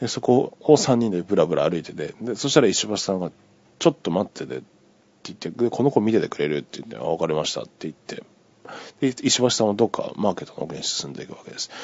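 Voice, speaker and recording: Very fast speech comes from a man. His volume rises and falls in big swings. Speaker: podcaster. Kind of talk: casual solo monologue telling a dream. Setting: recorded on iPhone, solo. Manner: rambling, filler-heavy, conversational.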